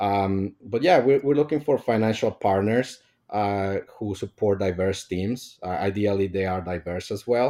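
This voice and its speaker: Hardly pausing, a man speaks at a fairly slow pace in a fairly low, dark, mellow voice with ordinary pitch variation, on a very clean recording with a silent background. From Mexico. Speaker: startup co-founder. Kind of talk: interview. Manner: hesitant, many fillers.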